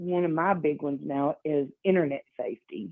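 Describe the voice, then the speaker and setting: A woman's fairly low voice with ordinary pitch variation at a fairly slow pace. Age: 50s. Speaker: event organizer. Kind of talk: interview. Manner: hesitant with fillers.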